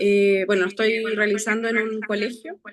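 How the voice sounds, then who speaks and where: At a moderate pace, a woman speaks. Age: 40s. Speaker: architecture student. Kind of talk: self-introduction in class.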